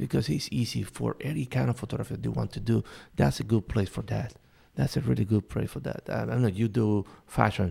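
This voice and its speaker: A man with a Spanish accent talks at a fairly quick pace, his pitch fairly low with very wide swings. His tone is dark and mellow, with vocal fry. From Cuba. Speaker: photojournalist. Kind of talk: interview.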